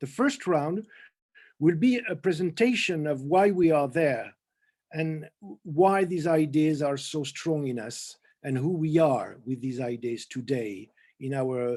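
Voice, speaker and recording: A man speaks with a fairly high pitch and lively intonation. His pace is fairly slow, with a slight French accent. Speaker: storyteller and forum moderator. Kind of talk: online panel discussion moderation. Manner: halting, many fillers.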